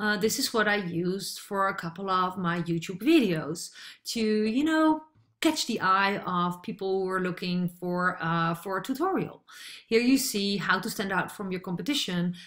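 A woman speaks with a Dutch accent. The background is quiet. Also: lively intonation, moderate pace. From Netherlands. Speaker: online marketer; online business coach. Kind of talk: tutorial. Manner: hesitant, many fillers. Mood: friendly, upbeat.

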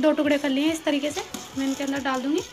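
Against clear music in the background, a woman speaks in a high pitch with monotone, flat intonation. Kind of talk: cooking tutorial. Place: kitchen.

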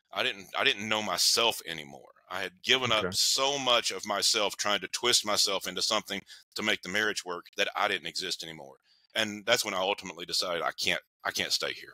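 A man with an East Tennessee accent talks at a very fast pace and a fairly low pitch, with ordinary pitch variation. His tone is bright and sharp, and the sound is dry with no echo. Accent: Southern US (East Tennessee). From US South, Knoxville, Tennessee. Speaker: counselor and relationship author. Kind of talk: interview. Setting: remote call. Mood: reflective, personal storytelling. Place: home room.

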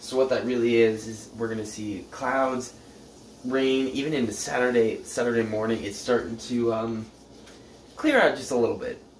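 A man speaks at a moderate pace in a flat monotone. The room has audible echo, with light background noise. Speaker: presenter. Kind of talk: casual forecast vlog. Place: kitchen.

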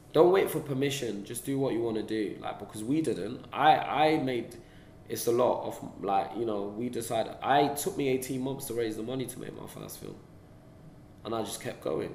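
A man with a London accent speaks at a moderate pace with ordinary pitch variation and big swings in loudness, heard with audible room echo and light background noise. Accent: London multicultural English. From London, England. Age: young. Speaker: film director; interviewee. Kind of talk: interview; interview answer. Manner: casual, with many fillers. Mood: relaxed, reflective. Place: meeting room.

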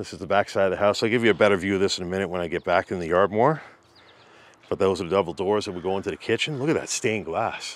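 Speaking at a very fast pace, a man has a fairly low pitch with ordinary pitch variation. The sound is dry, with no echo. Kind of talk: casual vlog commentary. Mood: curious, impressed. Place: garden. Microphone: phone near.

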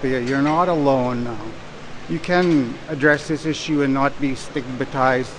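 The speech has fairly even intonation over noticeable background noise. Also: man. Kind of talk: interview answer. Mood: earnest, reflective. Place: hall. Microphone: lapel.

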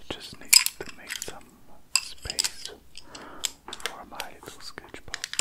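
The voice whispers, soft-spoken. It moves at a very slow pace. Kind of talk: tutorial. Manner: soft ASMR whisper. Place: home room.

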